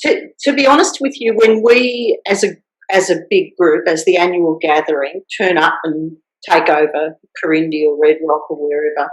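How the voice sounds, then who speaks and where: With an Australian accent, a woman speaks at a fairly low pitch with lively intonation. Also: moderate pace. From Australia, rural Victoria. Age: 60s. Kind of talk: interview. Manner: halting with many fillers and restarts.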